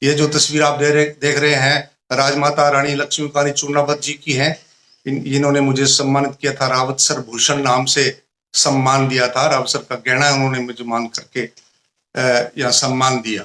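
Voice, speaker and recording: His voice fairly high, a man speaks with a bright, sharp tone and monotone, flat intonation. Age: 60s. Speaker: retired teacher and poet. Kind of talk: interview.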